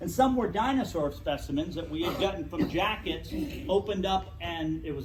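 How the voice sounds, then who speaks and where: A man talks in a room with audible echo. Noticeable background noise is present too. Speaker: natural history educator. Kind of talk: club talk. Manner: loud.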